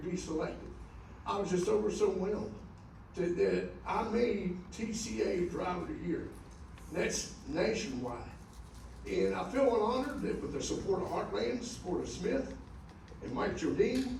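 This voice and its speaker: A man speaks at a moderate pace. There is noticeable background noise and audible room echo. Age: 70s. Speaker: truck driver, award honoree. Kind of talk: acceptance speech to an audience of drivers. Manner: halting, repetitive.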